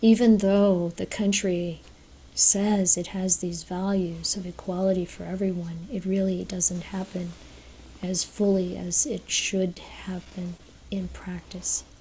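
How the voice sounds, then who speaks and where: A woman's somewhat breathy voice with an American accent, medium pitch and a dark, mellow tone, monotone and flat, at a fairly slow pace. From United States. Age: 60s. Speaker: speaker at a Buddhist women's event. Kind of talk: talk. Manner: halting.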